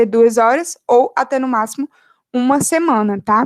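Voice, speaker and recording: The woman's voice is high-pitched. The recording is very clean, with a silent background. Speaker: medical student. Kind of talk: lecture.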